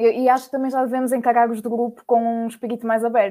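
A woman speaks very fast in a flat monotone, her fairly high voice carrying a dark, mellow tone. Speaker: university student. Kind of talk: casual chat.

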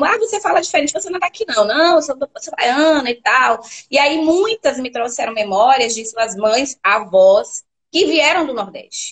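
Moderate-paced woman's voice with very wide pitch swings, dry and close with no echo. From Bahia, Brazil (Feira de Santana). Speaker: educator and researcher. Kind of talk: interview on a live stream. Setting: live online stream.

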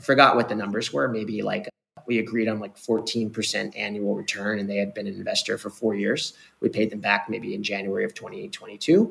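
Vocal fry from a man with a fairly low pitch, at a moderate pace with ordinary pitch variation. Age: 30s. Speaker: private equity fund founder and investor. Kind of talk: casual chat.

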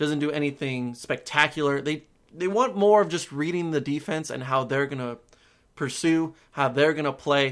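An unremarkable speaking voice from a man, fairly high in pitch, at a moderate pace with ordinary pitch variation, on a very clean recording with a silent background. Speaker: sports podcast host. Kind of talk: solo sports game review monologue. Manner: casual, conversational.

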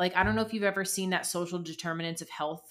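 A woman talks at a medium pitch with ordinary pitch variation. She has a plain, everyday voice. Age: 30s. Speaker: dietitian. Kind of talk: casual interview.

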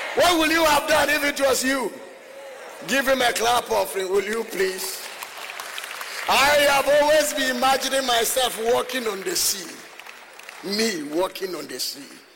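Speaking in a raised, projected voice with extremely high pitch for a man, he uses lively intonation at a fairly slow pace with long, frequent pauses while crowd noise fills the background. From Ghana. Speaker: visiting preacher. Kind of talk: sermon. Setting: church with congregation. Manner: animated.

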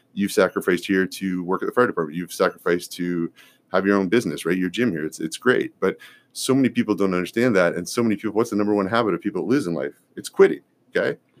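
The pace is very fast, with ordinary pitch variation. The recording is very clean, with a silent background. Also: man, fairly low pitch for a man, dry, close sound with no echo. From Ontario, Canada (north of Toronto). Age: 40s. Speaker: food company CEO and bodybuilder. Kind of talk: casual interview.

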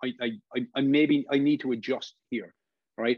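A man in a Cork accent, dark and mellow in tone, moderate in pace and lively in intonation, with a dry, close sound and no echo. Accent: Cork Irish. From Ireland, Cork. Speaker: football referee. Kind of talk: interview. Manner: halting, many fillers.

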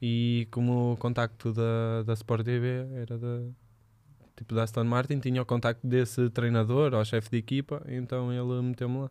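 On a very clean recording with a silent background, the voice has a dark, mellow tone and flat, monotone intonation at a moderate pace. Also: man, medium pitch for a man. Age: 20s. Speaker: footballer. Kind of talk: casual chat.

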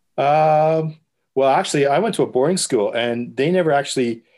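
In a very clean recording with a silent background, a man with a Canadian accent uses a normal speaking voice at a fairly high pitch, a moderate pace and ordinary pitch variation. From Canada, Winnipeg. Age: 50s. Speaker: newspaper photographer. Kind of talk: casual interview.

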